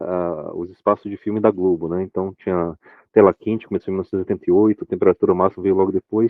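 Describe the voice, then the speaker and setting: The pace is very fast. The intonation stays monotone and flat. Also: man, very deep, low pitch for a man. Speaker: sci-fi fan club member. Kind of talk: casual chat. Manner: hesitant, many fillers.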